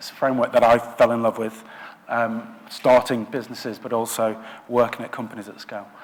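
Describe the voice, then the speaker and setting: The man talks at a fairly quick pace in a Lancashire accent. Noticeable background noise is present. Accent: northern English (Lancashire). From northwest England, Blackburn. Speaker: product design director. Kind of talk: conference talk. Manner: hesitant, many filler words.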